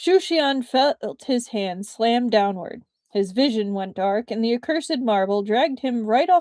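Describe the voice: Plain reading aloud carries lively intonation. Behind it, the background is quiet.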